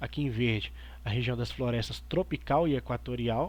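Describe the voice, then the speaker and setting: A man at a moderate pace, with audible room echo. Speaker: history teacher. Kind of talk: online class lecture.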